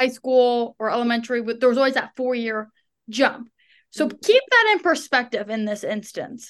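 A woman speaks loudly in a high voice at a moderate pace. Her pitch varies in an ordinary way. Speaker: co-host guest, sister. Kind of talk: casual chat. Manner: loud, animated.

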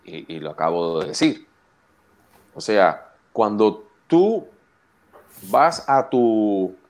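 A man with a fairly low pitch speaks at a very slow pace, taking long, frequent pauses. His pitch swings very widely. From Puerto Rico (Canóvanas area). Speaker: wrestling commentator. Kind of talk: casual chat. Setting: video call.

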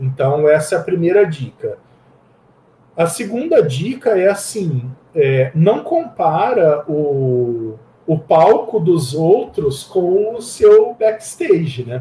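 The speaker goes at a very slow pace with very wide pitch swings and a dark, mellow tone. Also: man, high pitch for a man. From Campinas, São Paulo state, Brazil. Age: 40s. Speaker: IT professional and open-source community founder. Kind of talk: casual interview.

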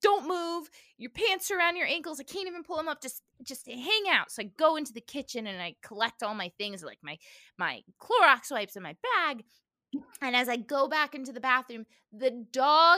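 A woman with a bright, sharp tone projects her raised voice at a high pitch and moderate pace, with very wide pitch swings and big swings in loudness, on a very clean recording with a silent background. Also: dry, close sound with no echo. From Cuban-American family. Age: 30s. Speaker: podcast host. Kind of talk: casual chat. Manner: animated.

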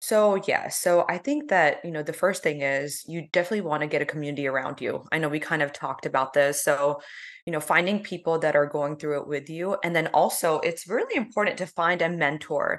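A woman's ordinary speaking voice with an American accent, at a fairly quick pace with ordinary pitch variation. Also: fairly low pitch for a woman. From US South, South Georgia (Valdosta). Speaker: dermatologist. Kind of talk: podcast interview.

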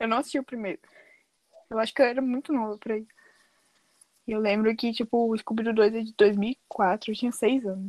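A woman speaks at a fairly quick pace with fairly even intonation and long, frequent pauses, the sound dry and close with no echo. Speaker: podcast guest. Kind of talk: casual chat.

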